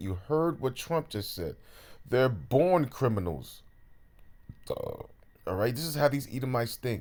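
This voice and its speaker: A man speaks at moderate speed, captured in a very clean recording with a silent background. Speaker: street preacher. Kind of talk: sermon. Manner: animated.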